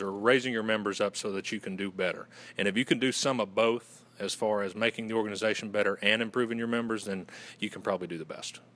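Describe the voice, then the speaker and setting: Speaking at a very fast pace, a man has a Southern US accent. His pitch sits in the medium range. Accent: Southern US, moderate. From Western North Carolina. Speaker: fraternity communications director. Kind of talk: interview.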